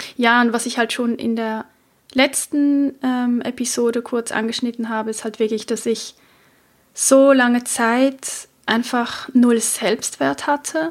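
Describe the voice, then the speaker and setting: A woman's high-pitched voice, very slow in pace, with fairly even intonation. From Switzerland. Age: 30s. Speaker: podcast host. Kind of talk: personal monologue.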